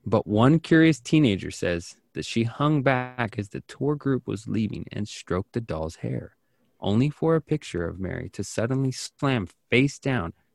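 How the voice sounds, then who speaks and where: A man with an American accent talks at medium pitch and a moderate pace in an ordinary speaking voice. The sound is dry and close with no echo, on a very clean recording with a silent background. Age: 30s. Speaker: podcast host. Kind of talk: casual chat; reading aloud.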